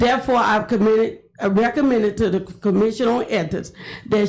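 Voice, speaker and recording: A woman's somewhat breathy, fairly high voice with an American accent, fairly even intonation and a fairly quick pace. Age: 70s. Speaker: retired educator speaking at public comment. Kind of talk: public comment statement. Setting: city commission chambers. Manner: formal.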